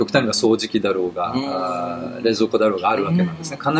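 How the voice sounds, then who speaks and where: Noticeable background noise sits under a man whose pitch swings very widely. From Tokyo, Japan. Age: 50s. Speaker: technology writer. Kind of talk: interview. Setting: outdoors.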